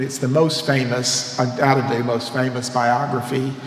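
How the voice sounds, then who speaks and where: This man talks at a moderate pace with a medium pitch and a slight Mississippi accent. Noticeable background noise and audible room echo are present. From US South, Mississippi. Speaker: priest and seminary professor. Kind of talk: lecture. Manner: animated.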